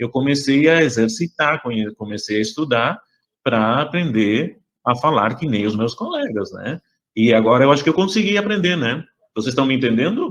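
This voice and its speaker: At a moderate pace, a man with a Rio Grande do Sul accent and a medium pitch speaks with lively intonation. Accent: southern Brazilian gaúcho Portuguese. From Uruguay, moved to southern Brazil at ten. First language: Spanish (speaking Portuguese). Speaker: educator leading a class activity. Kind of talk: online class talk with children. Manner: hesitant, many fillers.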